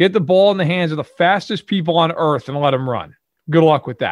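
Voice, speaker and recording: A man with a Brooklyn accent speaks at a fairly quick pace. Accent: New York (Brooklyn). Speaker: sports podcast co-host. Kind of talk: casual chat.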